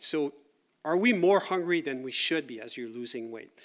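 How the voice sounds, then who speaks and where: With a French-Canadian accent, a man talks at a moderate pace using lively intonation. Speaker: university researcher. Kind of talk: lecture. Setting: conference workshop with audience. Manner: conversational, with fillers and repeats.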